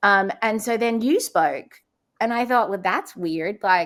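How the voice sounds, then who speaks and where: A woman's fairly high voice with a slight Australian accent, on a very clean recording with a silent background. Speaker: transplant survivor and speaker. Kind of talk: casual interview.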